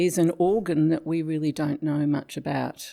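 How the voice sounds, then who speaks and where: On a very clean recording with a silent background, a woman with an Australian accent speaks in a dark, mellow tone with monotone, flat intonation. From Tasmania, Australia. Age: 70s. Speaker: retired psychiatric health worker. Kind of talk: interview storytelling.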